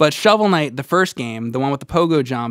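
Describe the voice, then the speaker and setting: The speaker has an American accent. The recording is dry with no echo, and the background is quiet. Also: man. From New Jersey. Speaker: video game podcast co-host. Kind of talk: casual chat. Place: studio. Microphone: studio mic.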